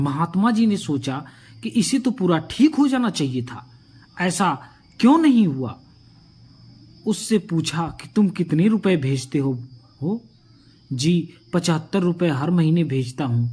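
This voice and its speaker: Pitched high, the man's voice swings very widely in pitch, with long, frequent pauses throughout. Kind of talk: moral story narration.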